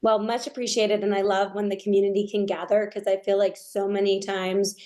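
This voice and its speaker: Speaking very fast in an American accent, a woman uses a medium pitch, a dark, mellow tone and a flat, monotone intonation. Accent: New York accent, mostly trained out, slips in. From US Northeast, Long Island, New York. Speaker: nonprofit founder. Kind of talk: podcast interview.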